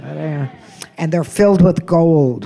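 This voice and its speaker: A woman with a very deep, low pitch, in an American accent, at a very slow pace. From United States. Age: 80s+. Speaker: comedian. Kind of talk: stand-up.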